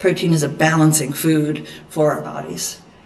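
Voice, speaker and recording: A woman speaks in a space with audible room echo. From Eastern Kentucky. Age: 50s. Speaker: dietitian. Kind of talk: lecture.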